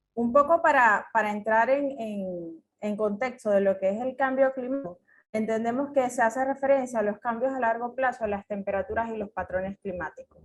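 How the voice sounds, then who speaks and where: At a moderate pace and with hardly any pauses, a woman with a Venezuelan accent speaks at a fairly high pitch, her pitch moving in an ordinary way. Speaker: agronomist, climate adaptation specialist. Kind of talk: conference talk. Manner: hesitant, many fillers.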